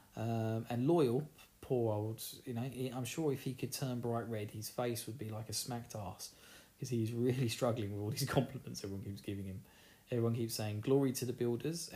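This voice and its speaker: Fairly quick and somewhat breathy, a man with an Essex accent speaks in a dark, mellow tone with fairly even intonation. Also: medium pitch for a man. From Essex, England. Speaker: podcast host. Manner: casual, chatty.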